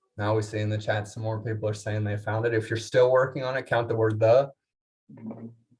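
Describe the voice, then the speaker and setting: A somewhat breathy man at a fairly quick pace and medium pitch. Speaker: leadership seminar speaker. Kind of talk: conference keynote talk. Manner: fast, energetic.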